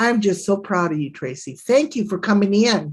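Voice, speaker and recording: An animated woman at a medium pitch, lively intonation and a moderate pace over a quiet background. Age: 60s. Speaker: livestreamer. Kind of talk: casual chat. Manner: boisterous.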